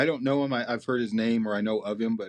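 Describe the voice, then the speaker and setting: His pace is very fast. The man speaks at a medium pitch with fairly even intonation. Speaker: archery expert. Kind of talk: interview.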